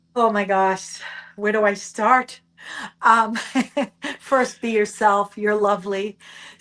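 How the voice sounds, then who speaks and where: A woman with a fairly high pitch speaks in a Boston accent, very slowly, with long, frequent pauses. Her tone is bright and sharp, and her intonation is monotone and flat. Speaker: nurse, hospice outreach director. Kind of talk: interview. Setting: video podcast.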